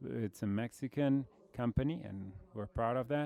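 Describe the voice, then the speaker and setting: A man's medium-pitched voice with a Brazilian accent, dark, mellow tone, ordinary pitch variation and fairly slow pace, on a very clean recording with a silent background. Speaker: logistics executive. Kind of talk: conference presentation.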